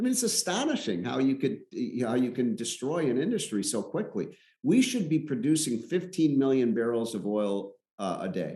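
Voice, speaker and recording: Pitch swinging very widely, a man with an American accent speaks at medium pitch and a moderate pace. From US Midwest, Chicago. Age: 60s. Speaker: economist. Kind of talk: interview.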